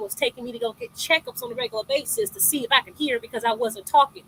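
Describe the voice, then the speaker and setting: A woman speaks at a very fast pace in a raised, projected voice. The sound is dry and close with no echo. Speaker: interview guest sharing abuse story. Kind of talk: testimony.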